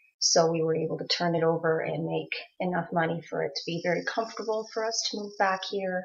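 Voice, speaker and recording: Speaking at a fairly quick pace over noticeable background noise, a woman uses a fairly low pitch with ordinary pitch variation. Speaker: video blogger, abuse survivor. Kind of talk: personal vlog monologue. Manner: hesitant, many fillers.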